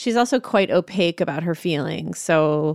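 A woman with a normal speaking voice, fairly low in pitch, talks at a fairly slow pace in a dry, close sound with no echo, on a very clean recording with a silent background. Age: 40s. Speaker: single parent. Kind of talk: interview.

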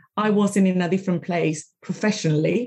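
A woman talks in a somewhat breathy voice. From Venezuela, Caracas. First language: Spanish. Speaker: podcast host and career coach. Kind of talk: interview.

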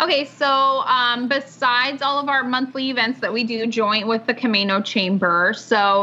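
An unremarkable speaking voice from a woman with an American accent, fairly slow, with ordinary pitch variation. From Washington State, US. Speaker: chamber of commerce executive director. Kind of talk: casual interview.

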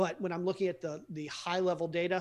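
In a very clean recording with a silent background, a man with an American accent speaks very fast at a high pitch with fairly even intonation. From US, Baltimore. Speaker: real estate investor. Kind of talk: interview.

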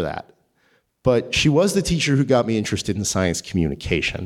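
The man's voice sits at medium pitch and swings very widely. He speaks at a very fast pace. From northern New Jersey. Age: 30s. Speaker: astrophysicist and writer. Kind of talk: live storytelling. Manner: halting, with repetitions.

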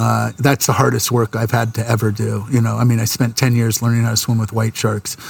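A man with a medium pitch talks fairly quickly in a flat monotone at very even loudness, with noticeable background noise behind him. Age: 50s. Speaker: commercial photographer. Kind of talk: casual chat.

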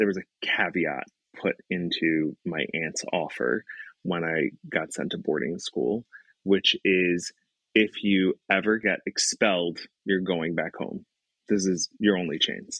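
With an American accent, a man speaks at a very slow pace in a dry, close sound with no echo. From Brooklyn, New York. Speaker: educator. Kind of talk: interview storytelling.

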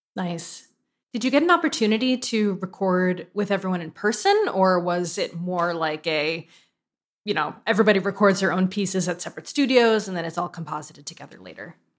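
A woman with a plain, everyday voice speaks at a fairly quick pace, medium in pitch with ordinary pitch variation and big swings in loudness. The recording is very clean, with a silent background. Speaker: podcast host. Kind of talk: casual interview chat.

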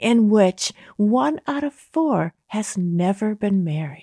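A woman with a fairly high pitch and a dark, mellow tone speaks very slowly, her pitch swinging very widely. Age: 60s. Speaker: social scientist. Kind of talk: interview conversation.

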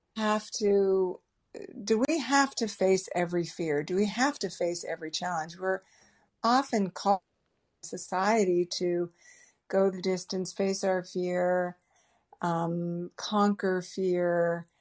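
With an American accent, this woman talks very slowly at a medium pitch, her pitch varying in an ordinary way against a quiet background. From US Northeast, Boston area. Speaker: travel writer. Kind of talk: interview.

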